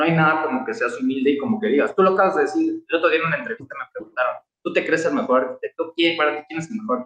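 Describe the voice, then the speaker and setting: At a very fast pace, a man talks with a high pitch and lively intonation. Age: 30s. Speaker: architect. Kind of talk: casual interview. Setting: video call.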